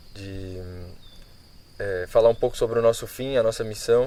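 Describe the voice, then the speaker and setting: A man speaks at a medium pitch with a dark, mellow tone. His intonation is monotone and flat, and his pace is moderate. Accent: Brazilian. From Brazil. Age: 20s. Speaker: missionary, former professional footballer. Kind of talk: casual interview. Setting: priory in Braga. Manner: hesitant, with many fillers.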